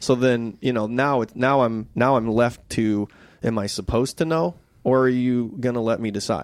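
Against a quiet background, a man with an unremarkable speaking voice talks at medium pitch and a moderate pace with fairly even intonation. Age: 40s. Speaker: film director. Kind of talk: casual chat.

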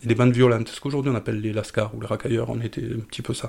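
Medium-pitched man's voice with vocal fry, fairly even intonation and a very fast pace. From southern France, Marseille suburbs. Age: 50s. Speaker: psychedelic drug user. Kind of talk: personal testimony. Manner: halting, repeats words.

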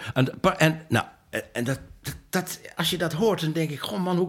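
At a moderate pace, a man talks in a raised, projected voice. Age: 70s. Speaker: author and retired filmmaker. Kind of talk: interview. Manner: halting.

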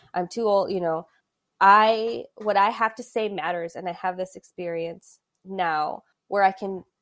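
A woman with an American accent has a normal speaking voice at a medium pitch. She speaks at a moderate pace with ordinary pitch variation. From US Midwest, Adrian, Michigan. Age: 30s. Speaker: sports communications professional. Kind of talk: casual interview.

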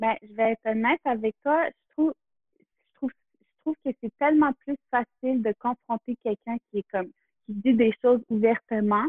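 In a Quebec accent, a woman speaks at a fairly high pitch. Her pace is moderate, with ordinary pitch variation. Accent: Québécois French. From Quebec, Montreal area near Kahnawake. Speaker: photographer. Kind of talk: interview conversation. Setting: in person. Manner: halting.

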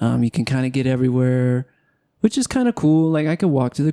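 On a very clean recording with a silent background and a dry, close sound with no echo, a man speaks at medium pitch with a dark, mellow tone and fairly even intonation. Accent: American. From Southern California. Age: 30s. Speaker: podcast host. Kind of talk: casual chat. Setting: home studio with camera.

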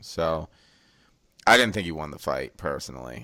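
Recorded very cleanly against a silent background, a man speaks with lively intonation. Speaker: podcast host. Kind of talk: casual banter about MMA. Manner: joking, profane.

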